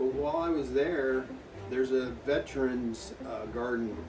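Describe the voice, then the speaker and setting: A man with an American accent speaks in a medium-pitched voice with ordinary pitch variation, amid audible room echo and noticeable background noise. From US West Coast (Las Vegas). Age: 60s. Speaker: retired firefighter and veteran hiker. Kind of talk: casual storytelling. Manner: conversational, hesitant fillers.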